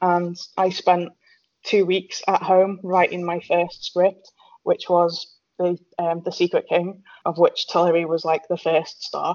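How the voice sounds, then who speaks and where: A British accent is heard here. The voice belongs to a woman. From Britain. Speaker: author. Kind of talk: casual chat. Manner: hesitant, many fillers.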